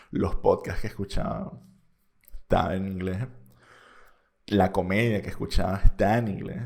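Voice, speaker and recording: Speaking at a moderate pace, a man with a Venezuelan accent uses a fairly low pitch. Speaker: podcast host. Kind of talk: casual monologue.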